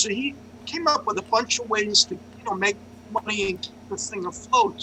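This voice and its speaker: In a New York accent, a man speaks in a raised, projected voice at a high pitch and moderate pace. Noticeable background noise runs underneath. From New York City. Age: 60s. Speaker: journalist and open mic organizer. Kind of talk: casual chat. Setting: video call.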